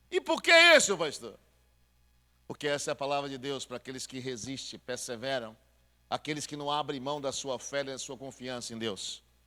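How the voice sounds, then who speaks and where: Fairly high in pitch, a man speaks with a bright, sharp, animated tone. He keeps a moderate pace while his loudness swings widely. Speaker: pastor. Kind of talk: sermon.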